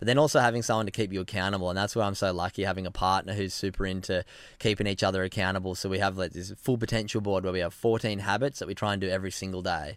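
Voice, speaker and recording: Talking at a very fast pace with hardly any pauses, a man with an Australian accent keeps a fairly low pitch and fairly even intonation in a very clean recording with a silent background. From Australia, Sydney (Narrabeen). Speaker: former pro surfer, mental health advocate. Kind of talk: casual interview chat.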